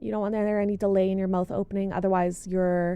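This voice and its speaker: Mumbling, a woman speaks in a dark, mellow tone. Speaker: vtuber and model artist. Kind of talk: tutorial.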